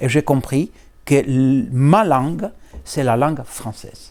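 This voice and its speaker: A man speaks at a very slow pace. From Greece. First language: Greek (speaking French). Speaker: law professor. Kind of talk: interview. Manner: halting.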